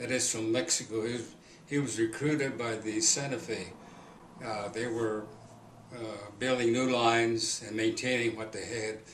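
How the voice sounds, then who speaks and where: Noticeable background noise and audible room echo around fairly even intonation. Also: man. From Kansas. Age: 80s+. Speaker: oral history interviewee. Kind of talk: oral history interview. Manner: halting.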